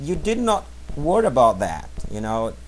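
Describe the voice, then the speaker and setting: A man speaks with a Portuguese accent, and audible room echo surrounds his voice. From Brazil. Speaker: language teacher. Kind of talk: tutorial. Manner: halting.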